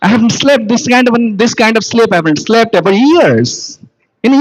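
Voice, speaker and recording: A man with an Odisha accent, high-pitched, at a moderate pace. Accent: Indian English, Odia. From India, Odisha. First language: Odia. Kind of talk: sermon. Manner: halting.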